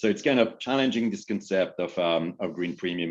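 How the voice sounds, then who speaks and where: Against a quiet background, a man speaks at a fairly low pitch with lively intonation. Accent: French. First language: French. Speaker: business executive. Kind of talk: panel discussion.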